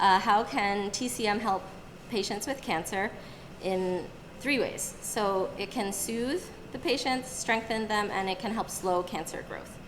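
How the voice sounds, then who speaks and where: Noticeable background noise and audible room echo around a woman's medium-pitched voice with ordinary pitch variation. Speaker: acupuncturist and herbalist presenting to a group. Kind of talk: live presentation. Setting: room with live audience.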